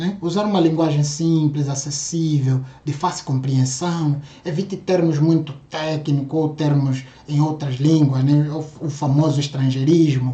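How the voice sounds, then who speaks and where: A man at a fairly high pitch and fairly slow pace, fairly even in intonation, with audible room echo and noticeable background noise. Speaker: sales trainer. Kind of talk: online course lecture.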